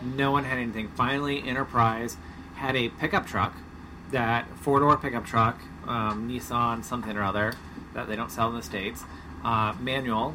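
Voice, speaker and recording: A man with an American accent at medium pitch, moderate pace and ordinary pitch variation, with noticeable background noise. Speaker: podcast co-host, sailing family father. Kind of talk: casual chat. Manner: radio-announcer voice briefly in intros.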